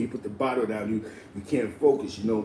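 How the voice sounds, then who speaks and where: A man talks very fast with a New York accent. Background noise is noticeable. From New York City (Spanish Harlem), Puerto Rican. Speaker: live stream host. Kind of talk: casual live stream talk. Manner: stammering repetitions.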